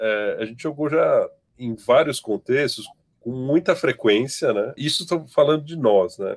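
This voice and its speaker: With lively intonation, a man speaks at a fairly slow pace and a fairly high pitch. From Brazil, São Paulo. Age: 40s. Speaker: game designer and organizational consultant. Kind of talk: podcast interview. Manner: halting, with frequent repetitions.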